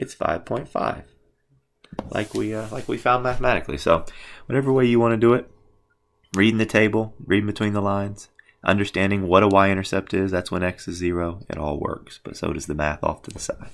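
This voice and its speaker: Ordinary pitch variation at a fairly quick pace, in a very clean recording with a silent background. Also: man, fairly low pitch for a man. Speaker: math teacher. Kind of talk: tutorial. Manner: fast.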